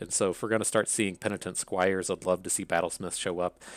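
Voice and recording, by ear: A man with an Appalachian accent, low-pitched and fairly bright in tone, fairly even in intonation, at a fairly quick pace. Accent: Appalachian American.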